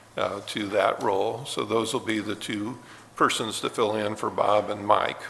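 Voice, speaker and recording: This man's bright, sharp tone sits at a fairly low pitch, delivered in a monotone, flat intonation at a moderate pace with an American accent. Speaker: board chairman. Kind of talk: public meeting. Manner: halting, many fillers.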